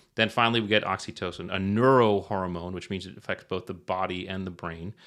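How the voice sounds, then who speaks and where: Speaking at a very fast pace, a man with a slight Connecticut accent uses a very deep, low pitch and big swings in loudness. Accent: slight Eastern US (Connecticut). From Connecticut, US Northeast. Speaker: retired Navy SEAL, performance author. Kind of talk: podcast interview, explanatory. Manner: animated, frequent 'right?' tags.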